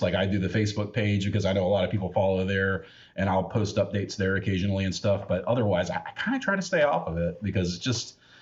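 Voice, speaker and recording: A somewhat breathy man with an American accent rattles along at a very fast pace in a fairly low pitch. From United States. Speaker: podcast host. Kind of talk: casual chat.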